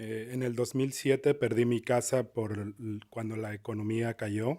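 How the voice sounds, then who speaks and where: In a strong Spanish accent, a man speaks at a moderate pace with a dark, mellow tone and medium pitch. His intonation stays monotone and flat. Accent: heavy Spanish accent in English. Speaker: public commenter, tenant. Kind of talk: public comment testimony. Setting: public meeting, council chamber. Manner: halting.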